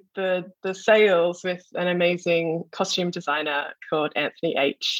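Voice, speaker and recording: In an Australian accent, the speaker moves at a fairly slow pace. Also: woman. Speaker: visual artist. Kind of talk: artist talk over video call. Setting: video call from home.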